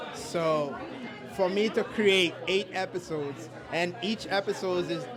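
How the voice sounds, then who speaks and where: A man with a slight Haitian accent speaks at a very slow pace, his pitch high for a man with ordinary variation. Audible room echo and crowd noise fill the background. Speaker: filmmaker and content creator. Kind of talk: casual interview. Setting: networking event. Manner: halting.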